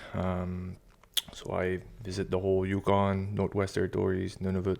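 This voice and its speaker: Over a silent background in a very clean recording, a man speaks at a moderate pace in a very deep, low voice with monotone, flat intonation. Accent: eastern Quebec. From eastern Quebec. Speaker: military veteran and fishing guide. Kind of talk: interview. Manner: halting.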